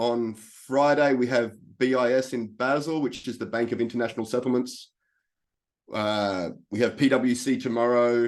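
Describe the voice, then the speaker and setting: With an Australian accent, a man of medium pitch talks at a moderate pace and fairly even intonation against a quiet background. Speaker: life coach. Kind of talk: presentation.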